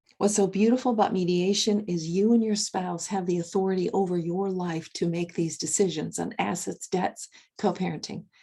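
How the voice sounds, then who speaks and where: A woman speaks at a moderate pace with hardly any pauses. Her tone is dark and mellow, and her intonation stays fairly even. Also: medium pitch for a woman. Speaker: divorce coach and mediator. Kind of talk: recorded tutorial.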